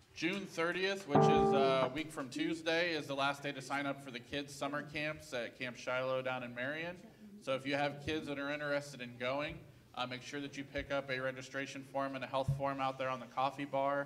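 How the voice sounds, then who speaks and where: A man's fairly quick, fairly evenly intoned speech over music in the background. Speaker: church announcer. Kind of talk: church announcements. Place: church. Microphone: pa.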